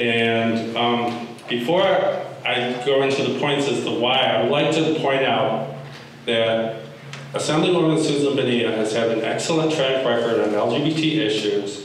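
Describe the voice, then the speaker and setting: A man with an American accent speaks at a fairly slow pace. There is strong room echo and light background noise. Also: ordinary pitch variation. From Vallejo, California. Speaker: speaker opposing endorsement. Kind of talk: public comment speech. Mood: serious, critical. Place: meeting room. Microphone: podium.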